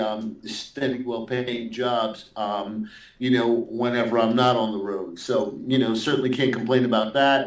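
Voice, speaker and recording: A man with a New York accent speaks at a fairly slow pace, his medium pitch held in a monotone, flat intonation. Noticeable background noise runs underneath. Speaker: metal guitarist and guitar teacher. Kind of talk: interview. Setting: Skype call. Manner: halting, many fillers and restarts.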